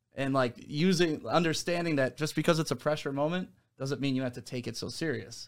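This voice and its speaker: In an American accent, a man with an unremarkable speaking voice talks at a fairly quick pace and fairly high pitch, with ordinary pitch variation, on a very clean recording with a silent background. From Detroit area, Michigan. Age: 40s. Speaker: radio host. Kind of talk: casual interview. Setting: studio.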